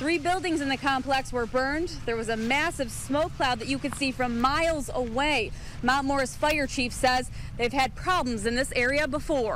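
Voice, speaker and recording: A woman's high-pitched voice at a moderate pace, with ordinary pitch variation, a dry sound with no echo and light background noise. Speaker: TV news reporter. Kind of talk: live field report. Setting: outdoors at fire scene. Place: open country. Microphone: handheld.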